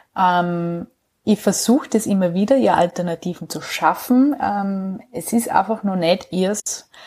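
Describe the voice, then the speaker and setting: In a Salzburg accent, a woman speaks very slowly at a medium pitch. Her tone is dark and mellow, with ordinary pitch variation. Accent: Austrian Bavarian (Salzburg). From Austria, southern Salzburg. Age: 30s. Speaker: herbal educator and nutrition trainer. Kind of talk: casual interview.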